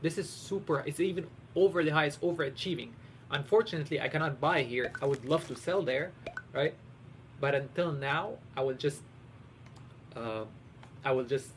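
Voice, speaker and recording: Somewhat breathy, a man talks at a fairly quick pace with ordinary pitch variation and long, frequent pauses. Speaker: streamer. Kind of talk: live game stream commentary. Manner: fast; animated.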